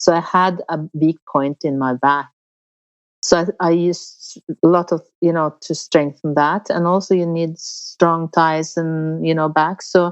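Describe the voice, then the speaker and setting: This woman's voice sits fairly low in pitch and carries a Norwegian accent. Her intonation stays monotone and flat. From Norway. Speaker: polar explorer. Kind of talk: interview. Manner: halting.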